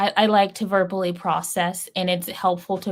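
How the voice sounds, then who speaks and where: A woman talks at a fairly low pitch in a monotone, flat way, at a moderate pace. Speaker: writing livestreamer. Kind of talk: casual livestream chat. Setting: livestream. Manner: halting.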